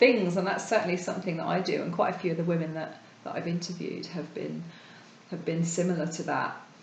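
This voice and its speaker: Over noticeable background noise, a woman talks at a very fast pace with fairly even intonation. Her pitch is fairly low, and her loudness swings widely. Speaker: podcast host. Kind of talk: interviewer.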